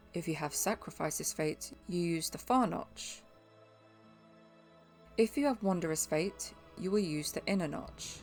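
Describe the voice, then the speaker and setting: A woman speaks at a fairly slow pace with a fairly low pitch. She leaves long, frequent pauses while music plays in the background. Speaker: game guide narrator. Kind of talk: game tutorial voice-over.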